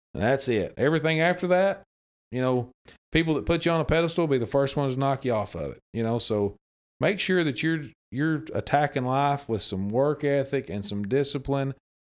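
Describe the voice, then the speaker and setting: A man with an Arkansas accent speaks fairly quickly in a fairly high voice with lively intonation. The recording is very clean, with a silent background. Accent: Southern US (Arkansas). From Arkansas, US South. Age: 30s. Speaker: former high school coach. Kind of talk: casual chat.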